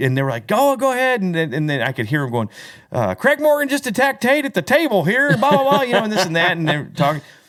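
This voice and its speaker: Very fast and loud, a man's voice swings very widely in pitch on a very clean recording with a silent background. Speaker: country singer and podcast host. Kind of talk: casual chat. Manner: animated.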